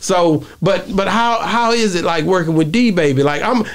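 At a moderate pace, a man talks with a high pitch and ordinary pitch variation, with faint background noise.

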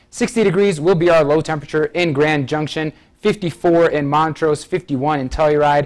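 A man speaks in an ordinary speaking voice at a fairly quick pace, his fairly high pitch moving with ordinary variation against a quiet background. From Michigan. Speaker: TV meteorologist. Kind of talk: weather forecast. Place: studio.

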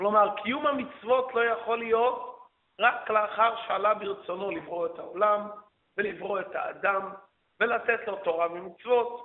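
Speaking at a fairly slow pace, a man with a high-pitched voice is heard against a quiet background. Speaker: religious teacher. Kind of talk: lecture. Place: church. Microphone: handheld.

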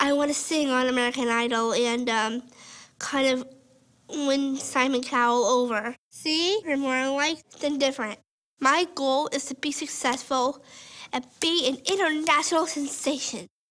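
Against a quiet background, a woman speaks with a high pitch and ordinary pitch variation. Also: moderate pace. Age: 20s. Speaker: college student with Down syndrome. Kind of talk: testimony. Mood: cheerful, hopeful. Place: studio.

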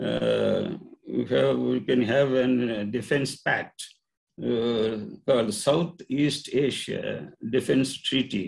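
Over a quiet background, a man speaks very slowly with very even loudness. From India. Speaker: retired engineering professor. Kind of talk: presentation. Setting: video call. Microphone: video call.

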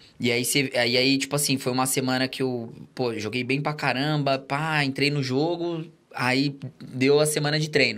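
At a moderate pace, the speaker talks with monotone, flat intonation. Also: man. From São Paulo state, Brazil. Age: 20s. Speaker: former footballer; podcast guest. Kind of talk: casual chat. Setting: studio. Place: studio. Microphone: studio mic.

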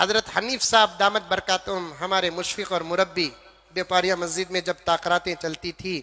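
The man's voice sits at a high pitch with a bright, sharp tone. His intonation stays fairly even. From Bangalore, India. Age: old. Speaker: Islamic preacher. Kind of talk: sermon.

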